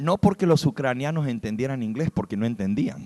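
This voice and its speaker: In a normal speaking voice, a man at medium pitch talks with lively intonation in a dry, close sound with no echo. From US (raised there, Spanish-speaking family). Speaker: preacher. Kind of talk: sermon.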